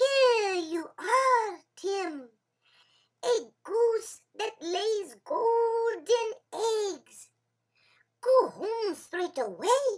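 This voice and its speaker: A squeaky put-on character voice comes at an extremely high pitch and a very slow pace. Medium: read story. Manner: sly, playful.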